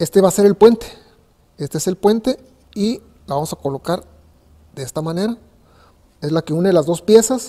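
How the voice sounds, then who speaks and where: A man's dark, mellow, high-pitched voice at a fairly quick pace, with lively intonation, long and frequent pauses, and a quiet background. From Mexico, Ensenada, Baja California. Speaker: carpenter. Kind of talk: tutorial. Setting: workshop. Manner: halting. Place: workshop.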